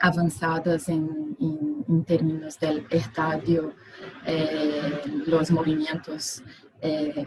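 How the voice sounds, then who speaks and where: A woman's voice, fairly low in pitch. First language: Portuguese (speaking Spanish). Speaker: architect. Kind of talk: conference presentation. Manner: halting.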